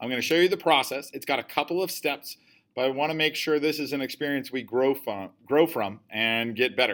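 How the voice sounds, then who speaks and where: Heard in a very clean recording with a silent background, a man with an ordinary speaking voice talks at a fairly quick pace and fairly high pitch with ordinary pitch variation. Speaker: teacher. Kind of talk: tutorial. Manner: casual.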